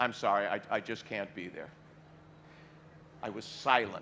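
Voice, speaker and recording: With an American accent, a man talks at a moderate pace in a bright, sharp tone with vocal fry. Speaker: singer and actor, atheist speaker. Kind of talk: stage speech to an audience, storytelling.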